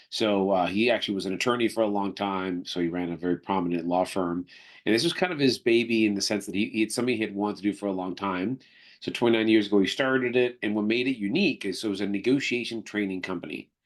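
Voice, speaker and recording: Against a quiet background, a man with a slight Canadian accent talks at a very fast pace, fairly low in pitch with ordinary pitch variation. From Canada. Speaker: negotiation trainer and company executive. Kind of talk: podcast interview. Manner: conversational with frequent fillers.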